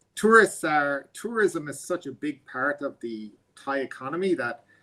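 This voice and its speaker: A man with an Irish accent and a bright, sharp tone. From Ireland. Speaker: guest lecturer. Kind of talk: guest lecture Q&A. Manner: halting, many fillers.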